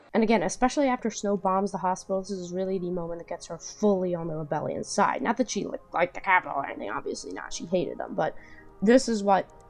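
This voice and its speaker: Talking very fast with big swings in loudness and ordinary pitch variation, the speaker is heard over music in the background. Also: woman. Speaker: movie reviewer. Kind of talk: casual movie review talk to camera.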